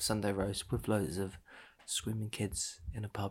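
On a very clean recording with a silent background, a man talks with an English accent. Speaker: podcast co-host, parent. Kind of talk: casual chat.

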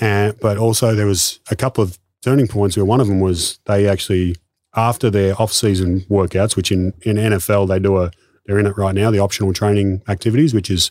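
Fairly quick speech in an Australian accent, in a very clean recording with a silent background. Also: man. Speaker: sports performance coach. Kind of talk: casual interview chat. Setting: in person.

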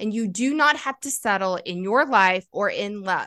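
Speaking at a fairly slow pace, a woman with an American accent has a bright, sharp tone. Her intonation is lively over a quiet background. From US South, Kentucky and North Carolina. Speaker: mindset coach. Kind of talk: interview.

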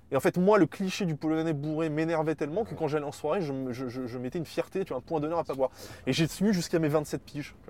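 Speaking very fast, a man with a Parisian accent has a fairly high pitch. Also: ordinary pitch variation. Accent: pronounced Parisian. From Paris, Montparnasse. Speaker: political science researcher. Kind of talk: casual interview chat. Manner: hesitant, many repetitions and fillers.

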